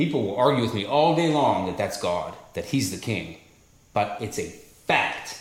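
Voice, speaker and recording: An unremarkable speaking voice from a man, medium in pitch, at a moderate pace with lively intonation. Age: 40s. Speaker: podcast co-host. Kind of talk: casual chat.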